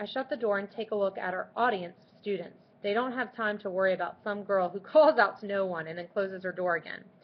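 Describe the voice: The speaker is plainly reading aloud. Pitch varies in an ordinary way.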